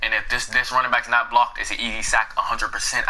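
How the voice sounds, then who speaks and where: A man talks here. Behind him, background noise is noticeable. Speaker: gaming youtuber. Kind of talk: tutorial. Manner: fast; halting.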